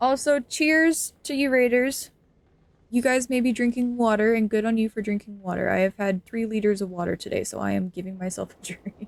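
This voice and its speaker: A woman with an ordinary speaking voice talks at a fairly quick pace and fairly high pitch, with ordinary pitch variation. Her loudness swings widely, and the sound is dry and close with no echo. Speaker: streamer. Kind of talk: live gameplay stream chat. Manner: frequent filler 'um'.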